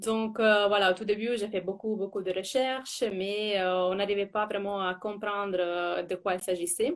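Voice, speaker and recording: A woman's medium-pitched voice with an Italian accent, fairly even intonation and hardly any pauses. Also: fairly slow pace. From Italy. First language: Italian (speaking French). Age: 30s. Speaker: former cancer patient. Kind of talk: interview on a live stream. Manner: hesitant, many fillers and repetitions.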